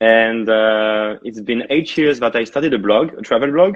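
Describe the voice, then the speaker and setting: A man talks with a French accent. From France. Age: 30s. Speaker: travel blogger. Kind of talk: interview.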